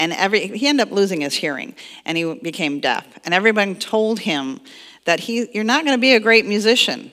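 The speaker is a woman. Around her the background stays quiet. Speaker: minister. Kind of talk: sermon. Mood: playful, joking, laughing. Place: church.

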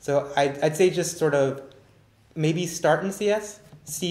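There is audible room echo as a man speaks with ordinary pitch variation. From Northern California. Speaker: recent graduate, orientation leader; panelist, moderator. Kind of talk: live Q&A panel. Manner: halting, many fillers. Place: classroom. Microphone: camera far.

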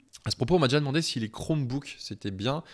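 A man talks at a very fast pace. The background is quiet. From France, Beaujolais countryside; France. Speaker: web design trainer, freelance webmaster; web design trainer. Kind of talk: tutorial. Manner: casual, with many hesitations. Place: home room. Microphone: handheld.

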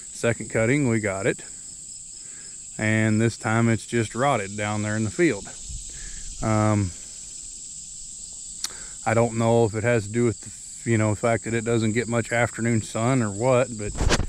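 A man at a fairly slow pace with long, frequent pauses, over light background noise. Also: fairly even intonation, dry sound with no echo. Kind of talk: casual vlog chat. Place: farm machine. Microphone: phone near.

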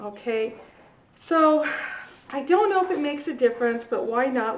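A woman speaks with ordinary pitch variation at a moderate pace, light background noise behind her. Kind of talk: tutorial. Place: kitchen. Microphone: camera far.

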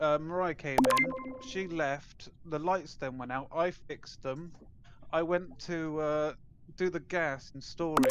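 Against loud background noise, a woman talks at a fairly slow pace with a dry sound and no echo. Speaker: online game player. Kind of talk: casual gaming chat. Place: home room.

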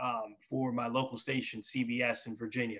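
With an American accent, a man talks at a moderate pace. Nothing disturbs the quiet background. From New York. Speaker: basketball TV reporter. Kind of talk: casual interview chat. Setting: video call. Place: home room. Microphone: video call.

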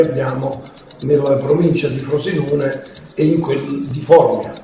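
A man speaks at a very slow pace, with light background noise and audible room echo. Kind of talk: interview answer.

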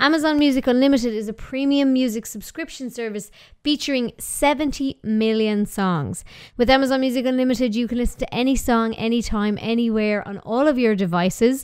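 A woman in an Irish accent, at a moderate pace with ordinary pitch variation, against a quiet background. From Ireland. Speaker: podcast host. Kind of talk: casual interview chat. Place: studio. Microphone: studio mic.

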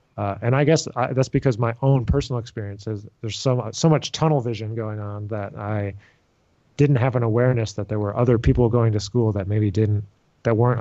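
Over a quiet background, a man talks at a fairly quick pace in a dark, mellow tone with fairly even intonation. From upstate New York (Rochester); New York. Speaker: jazz trombonist and music professor; music professor. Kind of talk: interview conversation. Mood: relaxed, reflective. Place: home room. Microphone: studio mic.

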